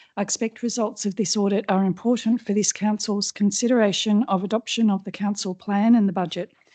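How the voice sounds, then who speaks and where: Speaking at a fairly quick pace with an Australian accent, the voice has a dark, mellow tone and fairly even intonation, recorded dry and close with no echo over a quiet background. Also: woman. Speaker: councillor. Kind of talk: council meeting question time.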